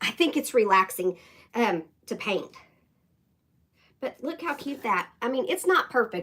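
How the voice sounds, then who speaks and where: A squeaky woman's voice at a moderate pace, full of very wide pitch swings. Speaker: craft YouTuber. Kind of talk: live-stream craft tutorial. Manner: casual, chatty.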